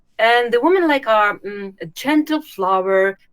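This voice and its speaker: A woman with a Russian accent, lively intonation, and a moderate pace, on a very clean recording with a silent background. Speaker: YouTube channel host, former recruiter. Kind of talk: interview. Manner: halting, many hesitations.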